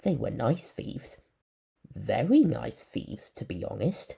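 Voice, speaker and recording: A man does a put-on character voice at a fairly slow pace, with big swings in loudness. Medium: read story. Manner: measured, polite.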